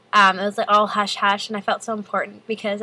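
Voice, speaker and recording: The tone is bright and sharp. Delivery is very fast, with light background noise. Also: woman. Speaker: student vlogger. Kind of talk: casual vlog chat. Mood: excited, gushing. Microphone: webcam.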